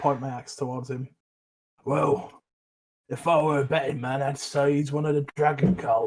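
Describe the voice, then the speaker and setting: In a raspy, put-on character voice with fairly high pitch, a man talks at a moderate pace with long, frequent pauses. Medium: actual play. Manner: gruff, folksy.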